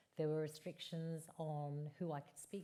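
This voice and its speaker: Her pitch very deep and low, a woman speaks in a dark, mellow tone at a fairly slow pace. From Essex, England. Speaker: campaigner against domestic abuse. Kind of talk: live podcast interview. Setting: stage with audience.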